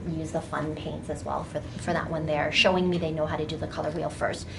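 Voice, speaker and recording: Noticeable background noise and audible room echo around a female speaker. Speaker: art teacher. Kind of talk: workshop demonstration. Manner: fast.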